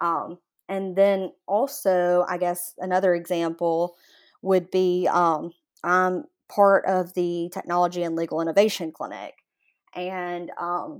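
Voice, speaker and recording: On a very clean recording with a silent background, a woman with an American accent speaks at a very slow pace with a fairly low pitch and fairly even intonation. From US South, Jackson, Mississippi. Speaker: law student. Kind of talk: interview.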